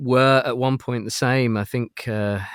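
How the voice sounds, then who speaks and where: A man speaks with a British accent at a moderate pace. The recording is very clean, with a silent background. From UK. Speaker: toy prototype collector. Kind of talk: casual chat. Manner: halting.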